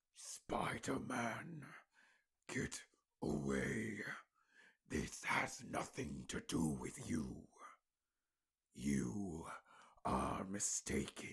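A man puts on a character voice, very deep and low in pitch, speaking very slowly with long, frequent pauses. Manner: menacing.

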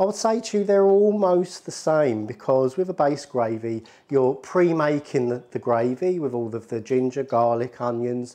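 A man with a dark, mellow tone speaks at a moderate pace against a quiet background. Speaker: presenter. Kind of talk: cooking tutorial. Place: kitchen.

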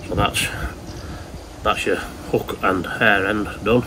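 There is clear background noise behind a man's voice.

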